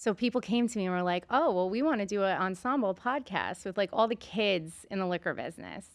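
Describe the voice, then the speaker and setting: With a strong New York accent, a woman talks at a fairly quick pace in a medium pitch, her pitch varying in an ordinary way against a quiet background. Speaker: podcast host and beverage entrepreneur. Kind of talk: casual interview chat.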